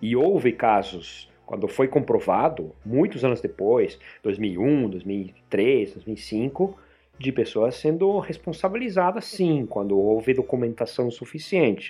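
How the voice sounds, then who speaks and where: At a medium pitch, a man talks at a very slow pace, his loudness very even. His pitch swings very widely. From Argentina, Buenos Aires. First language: Spanish (speaking Portuguese). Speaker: podcaster. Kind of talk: casual chat.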